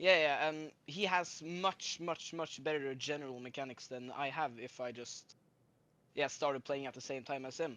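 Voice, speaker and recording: A fairly high-pitched man with a Norwegian accent, a bright, sharp tone, ordinary pitch variation, and a quiet background. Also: moderate pace. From Norway. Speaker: caller. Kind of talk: casual chat. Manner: halting.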